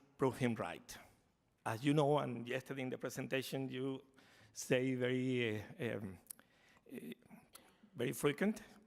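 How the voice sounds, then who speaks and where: A man's medium-pitched voice with a Spanish accent and ordinary pitch variation. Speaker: foundation representative. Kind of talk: conference talk. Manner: slow; halting.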